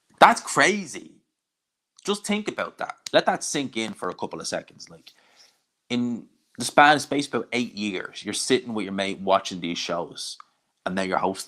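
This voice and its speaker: A man with a Dublin accent speaks in a bright, sharp tone, with very wide pitch swings and big swings in loudness. Long, frequent pauses break up his speech. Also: medium pitch for a man, moderate pace. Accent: Irish Dublin accent, less strong than some. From Ireland, Dublin. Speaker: combat sports YouTuber. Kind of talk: live stream watch-along, reading chat. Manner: casual, conversational.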